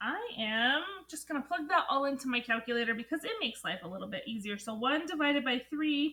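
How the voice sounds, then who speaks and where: A woman projects a raised voice at a high pitch with lively intonation. Her tone is bright and sharp. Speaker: math teacher. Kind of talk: tutorial lesson. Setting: recorded alone, no students present.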